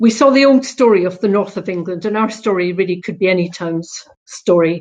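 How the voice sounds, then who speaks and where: In a Scottish accent, a woman talks at a moderate pace. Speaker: local councillor. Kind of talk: conference panel talk.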